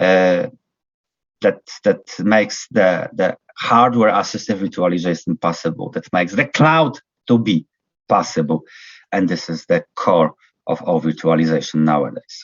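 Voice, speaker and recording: A man with a non-native accent, very deep and low in pitch, lively intonation, a moderate pace, and long, frequent pauses. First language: not English. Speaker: university lecturer. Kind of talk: lecture. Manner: halting, many fillers.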